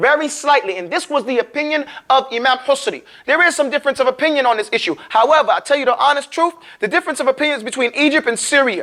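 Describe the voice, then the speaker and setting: In a raised, projected voice, a man speaks at an extremely high pitch and a very fast pace, with a bright, sharp, animated tone and ordinary pitch variation. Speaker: Quran recitation teacher. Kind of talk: lecture.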